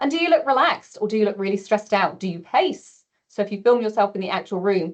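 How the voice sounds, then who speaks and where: Here a woman with an ordinary speaking voice and medium pitch talks at a moderate pace with lively intonation. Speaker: presentation skills trainer. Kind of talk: webinar presentation. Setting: webinar.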